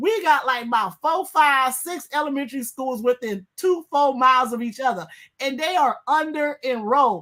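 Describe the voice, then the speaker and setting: A woman speaks in an animated tone with a high pitch and lively intonation. Her tone is bright and sharp. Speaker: guest co-host, attorney. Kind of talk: heated panel debate. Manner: fast.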